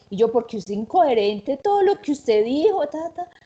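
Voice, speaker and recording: The speaker talks at a moderate pace with a paisa accent. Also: woman. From Colombia, Antioquia (paisa). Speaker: university teacher. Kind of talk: anecdote telling in panel.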